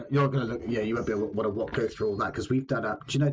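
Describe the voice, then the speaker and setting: Over noticeable background noise, a man speaks very fast with ordinary pitch variation. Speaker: podcast host interviewing a guitarist. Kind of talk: casual chat.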